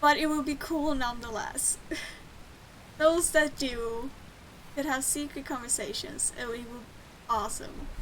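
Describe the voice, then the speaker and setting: Over noticeable background noise and audible room echo, a woman with a high pitch speaks with long, frequent pauses. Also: ordinary pitch variation, moderate pace. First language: Swedish. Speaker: game streamer. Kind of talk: casual gameplay commentary. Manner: casual, with fillers.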